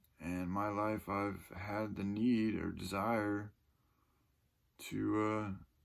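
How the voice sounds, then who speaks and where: Speaking at a very slow pace, a man uses long, frequent pauses. His voice sits fairly low, and the room echo is audible. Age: 30s. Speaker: vlogger. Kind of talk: personal monologue. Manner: halting.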